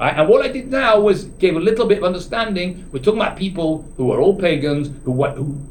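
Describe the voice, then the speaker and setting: With audible room echo around him, a man talks at a fairly quick pace in an animated tone with lively intonation. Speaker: rabbi teaching a Torah class. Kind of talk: lecture. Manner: dynamic, animated; halting, frequent restarts.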